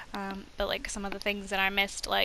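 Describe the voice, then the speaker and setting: A woman talks at a fairly quick rate while noticeable background noise fills the recording. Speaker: gaming video host. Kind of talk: casual gameplay commentary.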